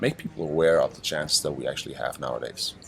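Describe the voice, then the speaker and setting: A man speaks with a German accent. Noticeable background noise runs underneath. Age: 30s. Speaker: digital nomad entrepreneur. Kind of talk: interview. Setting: on a boat. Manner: halting, many fillers and repetitions.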